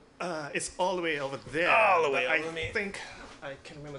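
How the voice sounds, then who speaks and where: Noticeable background noise sits behind a man speaking at a fairly high pitch with ordinary pitch variation. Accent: slight Singaporean. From Singapore. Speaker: guest DJ. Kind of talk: casual chat. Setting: studio.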